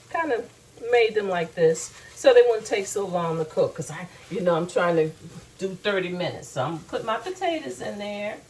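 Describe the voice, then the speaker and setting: Noticeable background noise accompanies a woman at a medium pitch. Her pitch swings very widely. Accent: American. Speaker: home cooking show host. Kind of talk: cooking tutorial.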